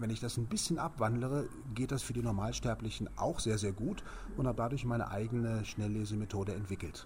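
An unremarkable speaking voice at a fairly quick pace. Loudness stays very even, with ordinary pitch variation. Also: man, medium pitch for a man. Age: 50s. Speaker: speed reading trainer. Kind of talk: interview.

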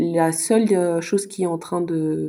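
Her fairly low-pitched voice has a dark, mellow tone, and the woman keeps her intonation fairly even. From Luxembourg. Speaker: mother with psychology background. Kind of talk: casual discussion. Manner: halting, many hesitations.

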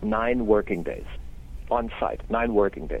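A man speaks with a German accent. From Germany. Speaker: solar company owner and engineer. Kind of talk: interview.

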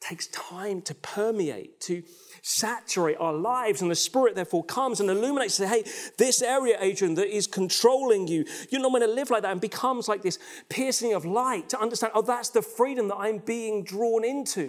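Lively intonation and an animated tone carry speech at a fairly quick pace. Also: man, high pitch for a man. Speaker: pastor. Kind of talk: sermon. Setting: recorded online church service.

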